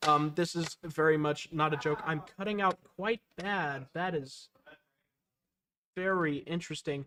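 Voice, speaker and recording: A loud man speaks fairly slowly with a bright, sharp tone and a fairly high pitch. His intonation is fairly even, and the sound is dry and close with no echo. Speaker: esports caster. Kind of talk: live commentary. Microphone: peaking, cutting out.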